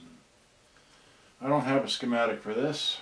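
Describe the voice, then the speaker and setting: A man is speaking. Background noise is noticeable. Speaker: electronics repair hobbyist. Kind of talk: live-stream repair tutorial. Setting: live stream with camera at home. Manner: soft-spoken, not very loud; halting, many fillers.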